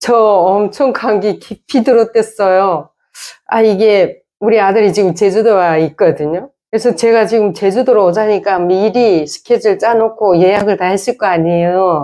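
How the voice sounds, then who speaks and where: Against a quiet background, a woman talks at a moderate pace in a medium pitch, her dark, mellow tone kept at a very even loudness with ordinary pitch variation. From North Korea. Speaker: North Korean defector YouTuber and singer. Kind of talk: casual chat.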